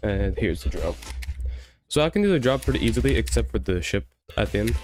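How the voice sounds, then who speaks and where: Music plays behind a man talking quietly at a very fast pace. His loudness stays very even. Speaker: gaming streamer. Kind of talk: casual live stream chat.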